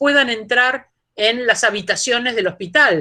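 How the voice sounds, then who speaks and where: A woman's raised, projected voice with a bright, sharp tone at a fairly slow pace. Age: 60s. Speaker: philosophy professor. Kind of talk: lecture Q&A answer.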